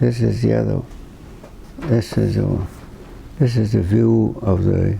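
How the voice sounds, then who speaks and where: With a fairly low voice, a man speaks at a very slow pace. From Slocum, Rhode Island. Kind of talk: interview answer. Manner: hesitant, reminiscing.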